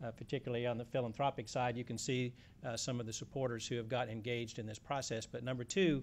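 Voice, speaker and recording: Delivered at a very fast pace, this voice carries a Louisiana accent and fairly even intonation. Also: man, medium pitch for a man. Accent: Southern (Louisiana). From South Louisiana. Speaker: environmental policy advocate. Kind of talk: panel talk. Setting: conference panel with audience. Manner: halting, many fillers.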